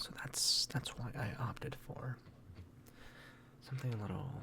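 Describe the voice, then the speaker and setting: A fairly slow whisper. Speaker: ASMR creator. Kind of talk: ASMR keyboard showcase talk. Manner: soft-spoken.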